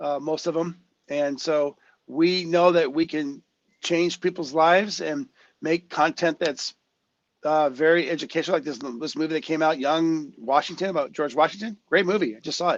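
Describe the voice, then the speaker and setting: Against a quiet background, a man with an ordinary speaking voice and fairly high pitch talks at a moderate pace with fairly even intonation, the sound dry and close with no echo. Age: 60s. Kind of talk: interview. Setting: live stream.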